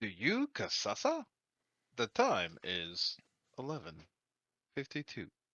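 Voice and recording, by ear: In a put-on, robotic character voice at a low-to-middle pitch, the speaker moves at a fairly slow pace with long, frequent pauses.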